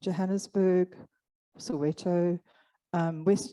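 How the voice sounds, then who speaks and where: A woman's dark, mellow tone at medium pitch, dry and close with no echo. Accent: Afrikaans. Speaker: clubfoot programme organizer. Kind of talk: conference presentation.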